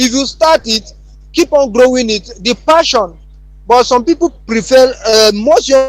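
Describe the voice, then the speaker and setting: The speaker has a Nigerian accent, with music playing in the background. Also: man. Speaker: youth advocate. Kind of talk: panel discussion. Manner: halting.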